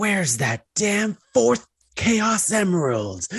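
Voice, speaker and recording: A raspy, put-on character voice sits at a middle pitch with very wide pitch swings. The pace is very slow. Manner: edgy, cocky.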